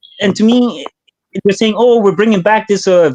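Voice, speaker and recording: Speaking with a French accent, a man has a high pitch. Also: dry, close sound with no echo. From Canada, Hamilton, Ontario. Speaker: caller. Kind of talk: casual chat. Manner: animated.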